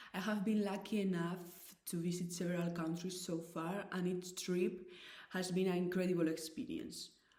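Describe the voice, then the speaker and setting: A woman's medium-pitched voice with a dark, mellow tone, fairly even intonation and a moderate pace, with audible room echo. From Spain, Basque Country. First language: Basque and Spanish. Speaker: volunteer language conversation presenter. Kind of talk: scripted presentation.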